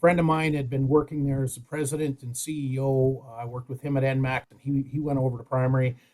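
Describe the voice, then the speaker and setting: Somewhat breathy and at a very fast pace with hardly any pauses, a man with a western Canadian accent speaks at a medium pitch in a monotone, flat intonation. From Alberta, Canada. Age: 60s. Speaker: safety advisor in powerline construction. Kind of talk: podcast interview.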